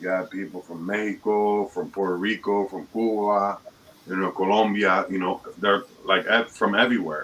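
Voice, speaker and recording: The speaker has an American accent and talks at a moderate pace in a monotone, flat intonation, with noticeable background noise behind. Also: man, fairly low pitch for a man. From Dominican Republic and Chicago. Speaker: panelist. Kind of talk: casual chat.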